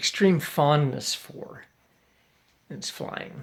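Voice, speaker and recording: A man with an American accent, fairly high pitch, vocal fry and ordinary pitch variation. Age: 60s. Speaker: father making video messages for his family. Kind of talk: casual personal video monologue. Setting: at home, late evening. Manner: hesitant, many fillers and restarts.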